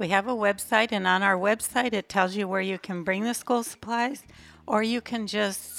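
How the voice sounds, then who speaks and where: A woman speaks with an American accent at a medium pitch. Her intonation is fairly even, and the recording is very clean with a silent background. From US Midwest (Minnesota). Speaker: charity founder. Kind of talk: podcast interview.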